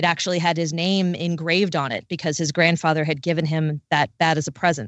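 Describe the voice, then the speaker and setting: In a plain, everyday voice, a woman with an American accent speaks at a fairly quick pace with hardly any pauses, fairly even intonation, and a fairly low pitch. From Maryland, near Washington, D.C. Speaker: radio news reporter. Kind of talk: podcast interview.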